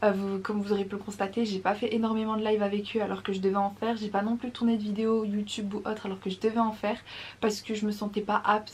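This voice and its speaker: A woman speaks at a very fast pace in a monotone, flat intonation. Her fairly high-pitched voice is somewhat breathy. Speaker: vlogger. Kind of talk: casual vlog talk to camera. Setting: at home, early morning. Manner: keeping voice down.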